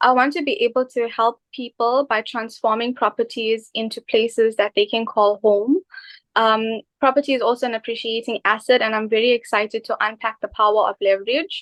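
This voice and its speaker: A woman with an unremarkable speaking voice talks at a fairly quick pace. Her pitch is fairly high and her intonation fairly even. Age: 20s. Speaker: microbiologist and new property investor. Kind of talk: interview.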